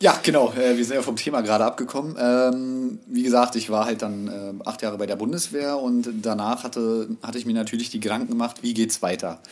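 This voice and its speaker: A man talks with hardly any pauses and fairly even intonation. Music plays in the background. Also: medium pitch for a man. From Berlin (Hellersdorf). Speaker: tattoo artist. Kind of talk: casual chat.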